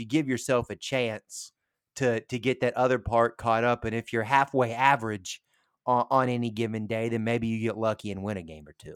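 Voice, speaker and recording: A man at medium pitch with a Tennessee accent, moderate pace, fairly even intonation and big swings in loudness, in a dry, close recording with no echo that is very clean with a silent background. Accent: Southern US (Tennessee). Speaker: radio sports show host. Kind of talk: casual chat. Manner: halting, many fillers.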